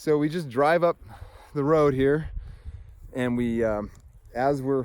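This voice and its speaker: A man speaks with a fairly high pitch and fairly even intonation. Long, frequent pauses break up his speech. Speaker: hunter. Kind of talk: casual talk to camera. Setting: outdoors.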